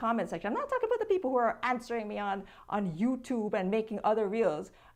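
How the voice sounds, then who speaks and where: Very fast pace amid noticeable background noise. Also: woman. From Jamaica. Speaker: content creator. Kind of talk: interview.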